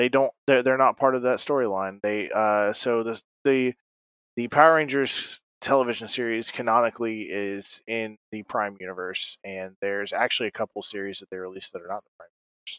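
A man with a plain, everyday voice speaks at a medium pitch, with ordinary pitch variation and big swings in loudness. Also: fairly quick pace. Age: 20s. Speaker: podcast co-host. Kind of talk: casual chat.

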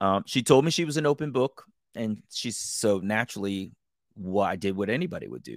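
A man with an American accent and an ordinary speaking voice talks at a fairly quick pace with a fairly low pitch, lively intonation and big swings in loudness, in a dry, close sound with no echo. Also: very clean recording, silent background. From Maryland, US. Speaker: podcast host. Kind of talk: interview.

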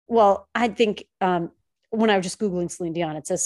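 A woman's dark, mellow voice in a New York accent, medium in pitch, with fairly even intonation and a moderate pace. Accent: Staten Island. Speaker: podcast co-host. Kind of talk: casual chat. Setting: studio.

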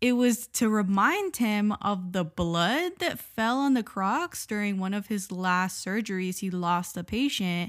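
A woman with a normal speaking voice and medium pitch talks at a fairly slow pace with hardly any pauses and lively intonation. The recording is very clean, with a silent background. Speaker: podcast host. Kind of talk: casual chat.

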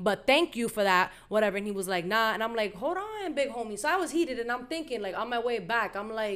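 A woman talks at a fairly quick pace with lively intonation. Her pitch is fairly high and her tone fairly bright.

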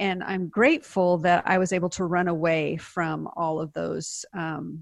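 Against a quiet background, a woman talks at a moderate pace in a fairly low, monotone voice with flat intonation. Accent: American. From US Pacific Northwest, Seattle. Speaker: author and speaker. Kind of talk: interview testimony.

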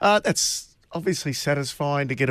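Over a silent background in a very clean recording, a man with an Australian accent speaks at a fairly high pitch and fairly quick pace with ordinary pitch variation. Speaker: racing radio host. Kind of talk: radio panel discussion about horse racing.

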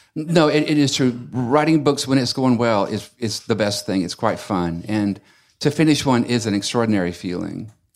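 In a very clean recording with a silent background, a man with an Alabama accent talks at a moderate pace and medium pitch, with lively intonation. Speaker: novelist and university teacher. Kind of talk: casual chat. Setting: bookstore event with audience.

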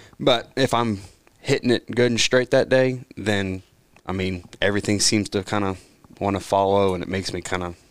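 An ordinary speaking voice from a man, fairly low in pitch, with ordinary pitch variation at a moderate pace. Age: 20s. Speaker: amateur golfer, league member. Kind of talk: casual chat.

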